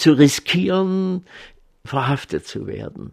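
Lively intonation from a man speaking at a very slow pace. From East Germany. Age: 80s+. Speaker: retired paediatric surgeon. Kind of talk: interview. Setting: garden of his home.

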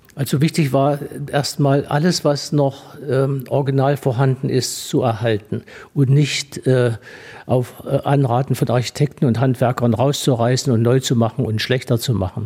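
A man's medium-pitched, somewhat breathy voice with a dark, mellow tone, fairly even intonation, very even loudness and a moderate pace. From Thuringia, Gera. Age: 80s+. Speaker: doctor and museum founder. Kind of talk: radio interview. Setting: on location in historic villa.

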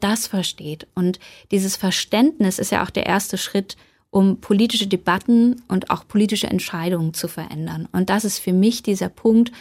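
In a very clean recording with a silent background, a woman speaks at a moderate pace. Her voice is somewhat breathy, with ordinary pitch variation. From eastern Germany, Saxony (Bautzen). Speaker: journalist and author. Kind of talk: radio interview.

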